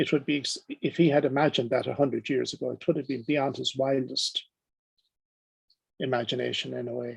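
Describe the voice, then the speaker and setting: A man in an Irish accent, talking at a fairly quick pace between long, frequent pauses. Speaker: professor giving plenary lecture. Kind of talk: lecture.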